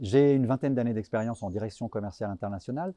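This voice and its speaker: A man's ordinary speaking voice, medium-pitched, with lively intonation and a dry, close sound with no echo. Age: 50s. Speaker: business school professor. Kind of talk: interview testimonial.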